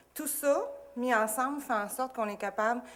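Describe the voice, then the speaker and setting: Speaking at a moderate pace, the woman has a normal speaking voice. Her pitch variation is ordinary. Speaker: school administrator. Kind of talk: presentation.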